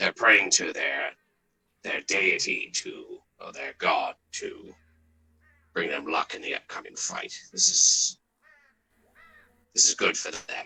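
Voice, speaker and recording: A raspy, whispered put-on character voice moves at a fairly slow pace with long, frequent pauses. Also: man. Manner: whispering.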